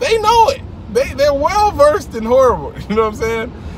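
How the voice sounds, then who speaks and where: A man speaks in an animated tone. The sound is dry with no echo, and light background noise is present. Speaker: comedian and ex-Jehovah's Witness video host. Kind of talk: stand-up style comedic rant, casual and conversational with jokes and sarcasm. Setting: video channel, talking to camera. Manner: sarcastic, punchy, laughing at own jokes. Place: car. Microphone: phone near.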